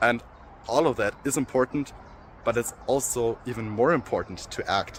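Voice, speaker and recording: A man with a German accent at a fairly quick pace, medium pitch and ordinary pitch variation. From Germany (Erlangen, Franconia). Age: young. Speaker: law student. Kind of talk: application video speech. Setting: outdoors overlooking city.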